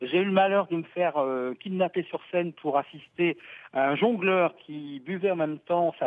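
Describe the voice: At a moderate pace, the voice shows ordinary pitch variation in a dry, close sound with no echo. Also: man.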